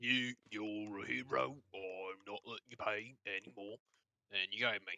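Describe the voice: A man puts on a character voice with a fairly low pitch. He speaks at a moderate pace.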